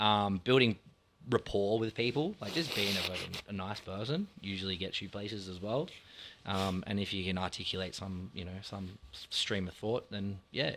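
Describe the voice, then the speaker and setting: A fairly low male voice with an Australian accent. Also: ordinary pitch variation, moderate pace. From Australia, Sydney inner west. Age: 30s. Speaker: bar owner. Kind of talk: casual chat.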